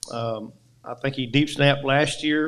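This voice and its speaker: A man with an Arkansas accent speaks at a fairly high pitch. Audible room echo surrounds his voice. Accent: Southern US (Arkansas). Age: 60s. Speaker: high school football coach. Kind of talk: press conference.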